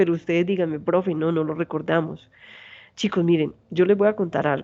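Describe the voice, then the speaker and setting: The tone is dark and mellow with fairly even intonation. The background stays quiet. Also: woman. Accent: strong Santander Colombian. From Colombia, Santander. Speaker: university lecturer. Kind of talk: lecture. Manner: fast.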